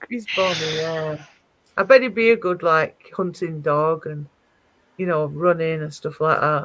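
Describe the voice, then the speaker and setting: A woman with an unremarkable speaking voice talks at a fairly slow pace in a fairly low pitch, with ordinary pitch variation and big swings in loudness. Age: 40s. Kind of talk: casual chat.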